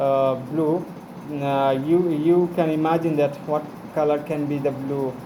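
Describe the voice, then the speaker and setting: A man with a Bengali accent talks at a fairly slow pace, fairly high in pitch and monotone and flat. Audible room echo and noticeable background noise surround him. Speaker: English learner vlogger. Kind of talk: casual monologue. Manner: halting, many fillers.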